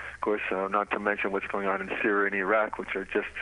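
A man talks at a fairly quick pace in a fairly low pitch, with monotone, flat intonation. Background noise is noticeable. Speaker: law professor and peace activist. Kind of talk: phone interview. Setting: phone call.

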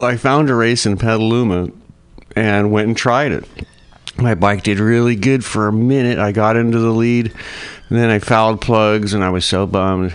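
Here is a man with an unremarkable speaking voice. He keeps a medium pitch, a moderate pace and fairly even intonation. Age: 50s. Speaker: motorcycle racer. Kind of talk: interview.

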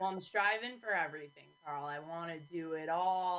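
The voice belongs to a woman with a fairly low pitch, an ordinary speaking voice. She speaks at a moderate pace. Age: 20s. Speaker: stand-up comedian. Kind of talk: casual interview chat.

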